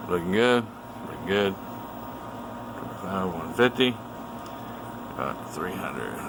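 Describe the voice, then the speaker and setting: There is noticeable background noise behind a voice with ordinary pitch variation. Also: man. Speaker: radio repair technician. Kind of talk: technical demonstration. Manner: fast.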